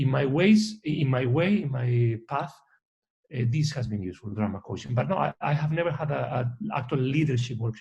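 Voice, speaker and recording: Lively intonation and vocal fry mark this man's medium-pitched voice. He speaks at a fairly quick pace. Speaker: orchestra conductor. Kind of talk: interview. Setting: video call. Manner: fast.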